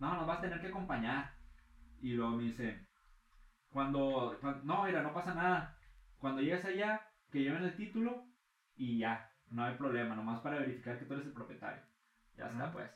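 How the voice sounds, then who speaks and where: With audible room echo, a man with a Mexican accent and a fairly high pitch talks at a fairly quick pace with lively intonation and long, frequent pauses. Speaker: freestyle rapper. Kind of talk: casual chat.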